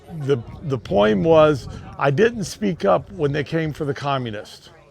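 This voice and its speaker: Crowd noise fills the background as a man speaks at a very slow pace, his fairly high pitch carried by lively intonation. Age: 60s. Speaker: war veteran. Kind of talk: interview. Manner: halting.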